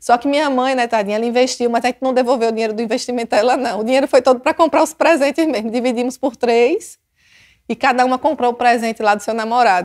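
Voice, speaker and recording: Talking at a very fast pace with a strong Sergipe accent, a woman uses a high pitch and an animated tone on a very clean recording with a silent background and a dry, close sound with no echo. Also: ordinary pitch variation. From Brazil, Sergipe (Aracaju). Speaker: police chief. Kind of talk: personal storytelling.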